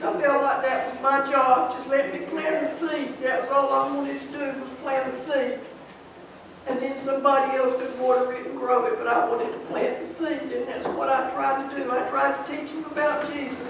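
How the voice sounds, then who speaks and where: Amid noticeable background noise and audible room echo, a woman with a high pitch talks with fairly even intonation. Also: moderate pace. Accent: Southern US. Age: 80s+. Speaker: retiring Sunday school teacher. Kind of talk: farewell speech in church. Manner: halting.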